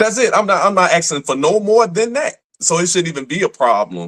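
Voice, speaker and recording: Talking at a moderate pace, a man has an American accent. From Chicago. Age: 40s. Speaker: radio personality. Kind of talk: casual interview conversation. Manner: animated.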